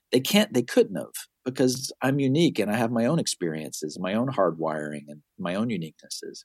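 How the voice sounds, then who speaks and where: Vocal fry runs through speech that moves at a fairly quick pace with very wide pitch swings. The sound is dry and close, with no echo. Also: man, medium pitch for a man. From US South and Miami, moved around. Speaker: marketing expert, author, podcaster. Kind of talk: casual interview conversation.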